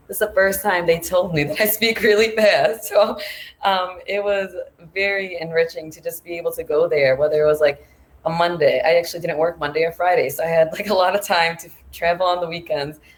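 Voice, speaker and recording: A woman's fairly low voice at a fairly quick pace, fairly even intonation and big swings in loudness, over noticeable background noise. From United States. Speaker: former English teaching assistant abroad. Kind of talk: panel discussion. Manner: fast.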